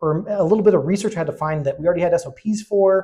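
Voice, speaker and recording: Speaking at a very fast pace, a man uses a high pitch with a dark, mellow tone. He talks with an American accent. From Arizona. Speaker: conference speaker, cybersecurity analyst, former police officer. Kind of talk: conference talk. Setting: stage with audience. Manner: animated.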